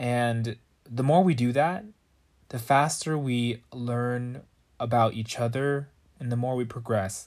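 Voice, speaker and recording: In an American accent, a man speaks at a medium pitch and a fairly slow pace, with fairly even intonation and long, frequent pauses. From US, Northern Virginia. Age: 20s. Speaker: podcast host. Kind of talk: solo monologue podcast.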